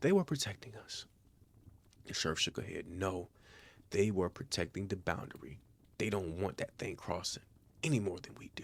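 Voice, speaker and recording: A man's fairly low, somewhat breathy voice at a moderate pace, with lively intonation and long, frequent pauses. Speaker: story narrator, channel owner. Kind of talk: calm horror story narration for bedtime.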